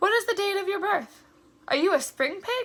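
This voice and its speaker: Putting on a squeaky character voice at an extremely high pitch, a woman speaks at a moderate pace. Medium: read story. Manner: polite, precise.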